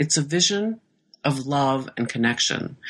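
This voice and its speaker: A woman with a Midwestern accent talks at a fairly slow pace, her pitch swinging very widely against a quiet background. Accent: General American (Midwest). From US Midwest, Iowa. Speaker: novelist. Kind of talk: interview.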